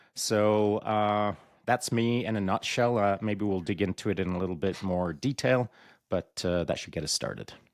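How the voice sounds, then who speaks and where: A man with a Canadian accent talks at a fairly slow pace. The sound is dry and close with no echo, in a very clean recording with a silent background. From Canada, Alberta (born in England, moved at ten). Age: 60s. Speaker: retired special forces soldier and podcaster. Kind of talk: podcast interview.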